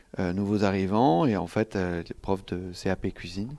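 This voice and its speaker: Here a man talks at a fairly low pitch with ordinary pitch variation. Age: 30s. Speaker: film director. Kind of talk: interview. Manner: halting.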